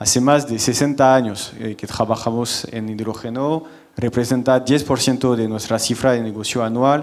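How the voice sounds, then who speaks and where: A man speaks with a French accent at a medium pitch. Noticeable background noise and audible room echo fill the recording. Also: fairly even intonation, moderate pace. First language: French (speaking Spanish). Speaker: company general manager, panelist. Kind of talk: conference panel presentation.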